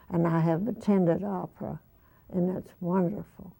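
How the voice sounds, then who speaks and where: Speaking at a fairly slow pace, a woman has a medium pitch and a dark, mellow tone. Her intonation is fairly even, with vocal fry. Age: 80s+. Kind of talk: interview answer. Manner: slow, hesitant.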